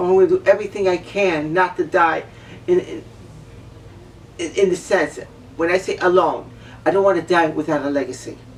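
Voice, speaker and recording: Over noticeable background noise, a woman talks at a moderate pace in a fairly low voice. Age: 60s. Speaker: vlogger. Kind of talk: personal monologue rant. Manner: emotional, repetitive.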